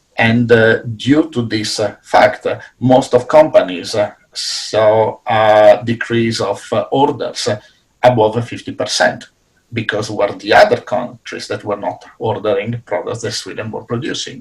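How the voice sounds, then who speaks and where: Here a man speaks in an Italian accent. His pace is fairly slow. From Italy. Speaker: business professor. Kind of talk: panel discussion.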